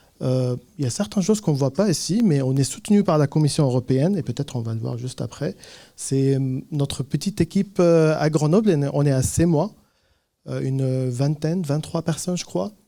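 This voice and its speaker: At a fairly quick pace, the speaker talks with a slight Lebanese accent, lively intonation and a dark, mellow tone on a very clean recording with a silent background. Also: man, fairly high pitch for a man. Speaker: tech startup founder. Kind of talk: conference talk. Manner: hesitant, many fillers.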